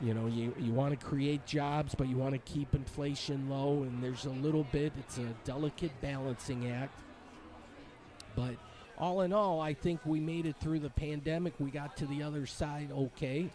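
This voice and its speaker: With an American accent, a man with a fairly high pitch speaks with fairly even intonation. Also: moderate pace. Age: 60s. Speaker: vlogger. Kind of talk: casual monologue. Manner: rambling, hesitant with fillers.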